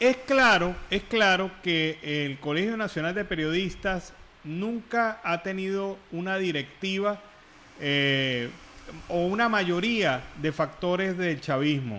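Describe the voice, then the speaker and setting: A man with a high voice talks very slowly, his intonation lively. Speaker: radio and interview host. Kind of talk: radio interview host questioning a guest.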